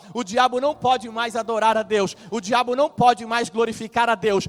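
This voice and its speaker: Extremely high-pitched, a man speaks at a moderate pace in an animated tone. The sound is dry and close, with no echo. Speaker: pastor. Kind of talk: sermon.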